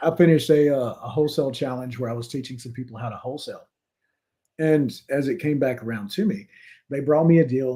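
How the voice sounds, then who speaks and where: A man with a Louisiana accent, somewhat breathy and dark, mellow in tone, medium in pitch with ordinary pitch variation, fairly quick in pace and with big swings in loudness. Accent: Louisiana Southern. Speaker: real estate investor and realtor. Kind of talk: casual interview conversation.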